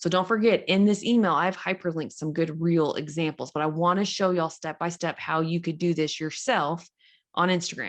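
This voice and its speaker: This woman's voice is fairly low and a plain, everyday voice, with fairly even intonation. She speaks at a moderate pace against a quiet background. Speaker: social media coach. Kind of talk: tutorial. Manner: casual.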